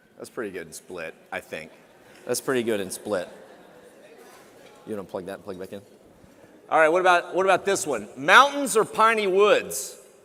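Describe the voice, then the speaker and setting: A man with a Texan accent in an animated tone, big swings in loudness, a moderate pace, and long, frequent pauses. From Texas. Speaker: TV travel show host. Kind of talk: keynote speech. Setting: conference stage with audience.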